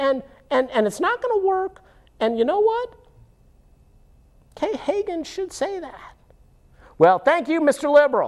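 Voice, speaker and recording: In a cartoonish character voice, the speaker uses a high pitch with very wide pitch swings, a moderate pace, and long, frequent pauses. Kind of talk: casual puppet show political commentary. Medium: puppet. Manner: excitable, rambling.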